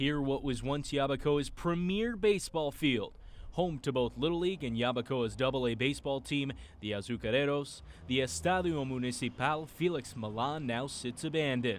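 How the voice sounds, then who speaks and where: Here is a man with an unremarkable speaking voice, pitched fairly high. His intonation is lively and his pace moderate. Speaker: sports host and reporter. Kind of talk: news package narration.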